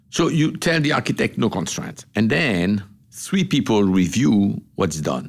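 Pitch jumps very widely throughout. Vocal fry runs through the voice. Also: man, fairly low pitch for a man, fairly slow pace. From Morocco. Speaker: business executive. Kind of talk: interview. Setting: in person interview in Washington, D C. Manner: halting.

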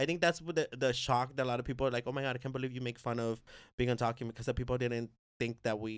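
Words come from a male speaker at a very fast pace. He talks at a medium pitch. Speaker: poet and performer. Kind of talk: casual chat. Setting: studio. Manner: animated.

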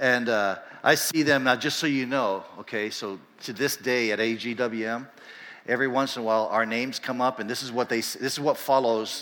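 A man speaks at a medium pitch and moderate pace with ordinary pitch variation. His tone is bright and sharp, with audible room echo. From Panama. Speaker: pastor. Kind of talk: church announcement.

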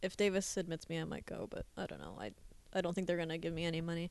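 Vocal fry runs through this woman's very fast speech. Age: 20s. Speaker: podcast co-host. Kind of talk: casual chat.

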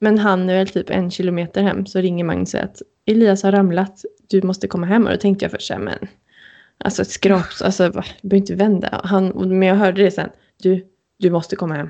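Speaking at a fairly quick pace, a woman uses a medium pitch and a dark, mellow tone with monotone, flat intonation. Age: 30s. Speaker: wedding podcast co-host. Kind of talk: casual chat.

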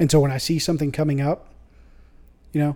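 A man's fairly high, somewhat breathy voice with a dark, mellow tone at a fairly quick pace. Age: 30s. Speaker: church member. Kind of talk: casual chat. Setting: studio.

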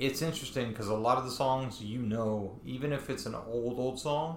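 A man in a plain, everyday voice speaks at a moderate pace and medium pitch with ordinary pitch variation. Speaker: podcast host. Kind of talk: casual chat. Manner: rambling, improvised.

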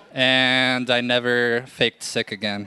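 Amid noticeable background noise, a man speaks at medium pitch. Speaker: reporter and storyteller. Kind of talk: live storytelling, comedic.

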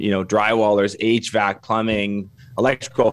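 In a Canadian accent, the speech comes at a very slow pace with monotone, flat intonation. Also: man. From Canada. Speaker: construction business consultant. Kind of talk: podcast interview.

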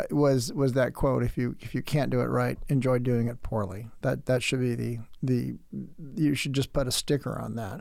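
In a very clean recording against a silent background, a man speaks at a moderate pace. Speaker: podcast host; former Navy veteran, tradesperson. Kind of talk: solo lecture monologue. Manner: sardonic, dark humor.

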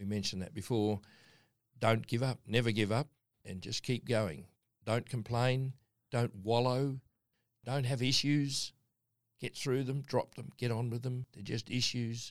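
A man with an Australian accent speaks at medium pitch and a fairly slow pace, leaving long, frequent pauses. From Darwin, Northern Territory, Australia. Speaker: mining company chairman. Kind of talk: interview.

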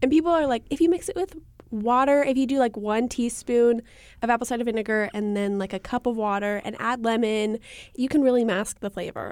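Her pitch is fairly high with ordinary variation as a woman talks at a fairly quick pace in an ordinary speaking voice. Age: 20s. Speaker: podcast co-host. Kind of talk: casual chat.

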